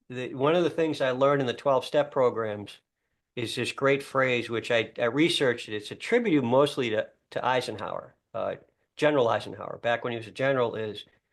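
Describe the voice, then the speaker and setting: Ordinary pitch variation and a fairly quick pace against a quiet background. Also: man, medium pitch for a man. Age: 60s. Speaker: guest sharing reflections on a quote. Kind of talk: casual interview chat. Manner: halting, frequent restarts.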